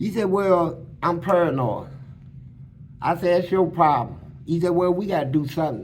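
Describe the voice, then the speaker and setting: A man with a high pitch, ordinary pitch variation, a moderate pace and audible room echo. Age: 60s. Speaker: former prisoner telling his life story. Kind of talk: storytelling interview. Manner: animated.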